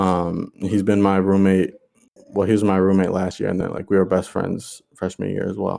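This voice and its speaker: A man's fairly low voice at a moderate pace, an ordinary speaking voice. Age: 20s. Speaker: podcast co-host. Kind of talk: casual chat.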